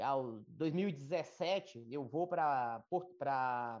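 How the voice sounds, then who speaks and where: A man is speaking. His intonation is lively. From Brazil, rural Minas Gerais/Bahia border. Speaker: agricultural market analyst. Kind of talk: interview. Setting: live stream.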